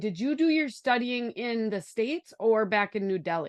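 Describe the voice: With a Wisconsin accent, a woman talks at a moderate pace in a fairly high voice with lively intonation, the sound dry and close with no echo.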